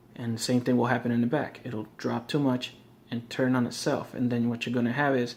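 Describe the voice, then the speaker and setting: At a very fast pace, a man speaks in monotone, flat intonation. His pitch is medium. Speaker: RC hobbyist. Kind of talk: tutorial. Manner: casual with many fillers.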